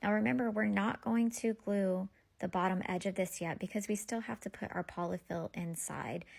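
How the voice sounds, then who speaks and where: In a very clean recording with a silent background, a woman speaks at a fairly quick pace. Her somewhat breathy voice sits at a medium pitch with ordinary variation. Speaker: craft tutorial creator. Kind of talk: tutorial.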